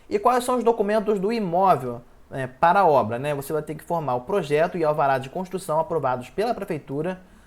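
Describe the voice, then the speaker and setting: A high-pitched man talks at a fairly quick pace. His intonation is lively, and he hardly pauses at all. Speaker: journalist, finance explainer. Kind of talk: tutorial. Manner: fast.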